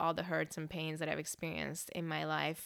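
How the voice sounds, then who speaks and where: A woman with a slight Hungarian accent, in a very clean recording with a silent background. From Hungary, moved to Northern California at ten. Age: 30s. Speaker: church staff pastor. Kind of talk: personal testimony.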